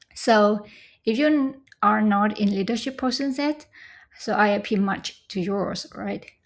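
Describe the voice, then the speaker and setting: A woman with a Vietnamese accent speaks at a fairly slow pace in a fairly high voice, with ordinary pitch variation, on a very clean recording with a silent background. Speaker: scholarship recipient. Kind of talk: casual tutorial talk to camera.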